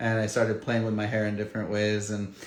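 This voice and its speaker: Audible room echo surrounds a man's voice. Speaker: facial plastic surgeon. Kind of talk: casual livestream talk. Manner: casual, conversational.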